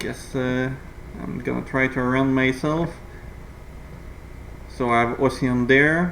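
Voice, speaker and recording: A man speaks at a medium pitch in a flat monotone, very slowly and with long, frequent pauses, and the room echo is audible. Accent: non-native. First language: not English. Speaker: gaming video creator. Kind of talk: gameplay commentary tutorial. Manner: halting, many fillers.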